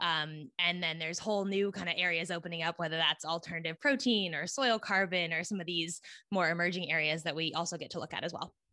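In a West Coast US accent, a woman with a fairly low pitch and a bright, sharp tone speaks at a very fast pace with ordinary pitch variation. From California, US. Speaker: ag tech podcast host and investor. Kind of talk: interview. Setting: remote recording. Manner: animated.

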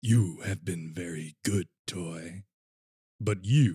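A man uses a put-on character voice, very deep and low in pitch. It sounds booming and raspy at a very slow pace.

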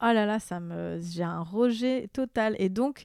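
A woman's fairly high voice at a very slow pace with ordinary pitch variation, dry and close with no echo on a very clean recording with a silent background. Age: 30s. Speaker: actress and content creator. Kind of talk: casual chat.

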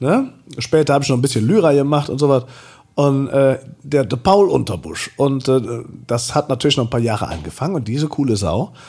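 His medium-pitched voice has a dark, mellow tone. The man talks at a fairly quick pace with lively intonation. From Oberbergisches Land, Germany (Engelskirchen-Ründeroth). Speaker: drag performer and singer. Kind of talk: casual chat. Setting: at home. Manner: animated.

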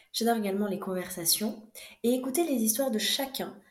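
Recorded with audible room echo, a woman speaks at a fairly quick pace and a fairly high pitch with ordinary pitch variation. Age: 20s. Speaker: podcast host, dentist. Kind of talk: scripted narration.

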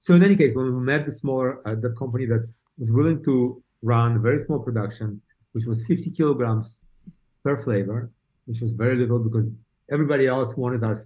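A man's somewhat breathy, medium-pitched voice with a Russian accent, at a fairly quick pace. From Saint Petersburg, Russia. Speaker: beauty brand co-founder. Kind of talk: casual interview chat. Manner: halting, many repeated words.

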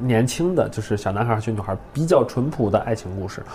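A man's voice with ordinary pitch variation amid noticeable background noise. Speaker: improv comedian and teacher. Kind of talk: casual chat.

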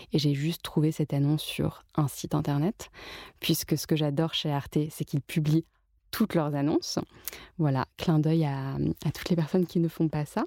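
A woman speaks at a moderate pace in a very deep, low voice with a dark, mellow tone and fairly even intonation. The sound is dry and close with no echo, and the recording is very clean over a silent background. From France, Paris. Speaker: journalist and author. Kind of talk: casual interview. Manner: hesitant with frequent fillers.

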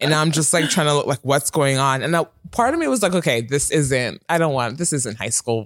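A man with a fairly high pitch speaks in a normal speaking voice, with hardly any pauses. The sound is dry and close, with no echo. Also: ordinary pitch variation, fairly quick pace. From Toronto, Canada. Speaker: customer service worker. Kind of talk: casual chat. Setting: studio.

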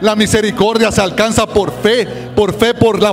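With noticeable background noise, a man speaks at a fairly slow pace in a high pitch. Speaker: minister. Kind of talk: prayer. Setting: church service with congregation. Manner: formal.

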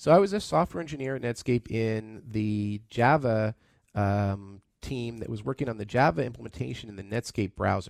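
An unremarkable speaking voice from a man, medium in pitch, at a moderate pace with ordinary pitch variation and big swings in loudness, on a very clean recording with a silent background. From Canada (Toronto). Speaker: tech entrepreneur. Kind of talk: radio interview. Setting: studio.

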